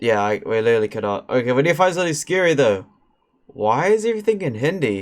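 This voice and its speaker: This man talks at a very fast pace in a medium-pitched voice. His pitch swings very widely. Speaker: streamer. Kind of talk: casual chat. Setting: live stream.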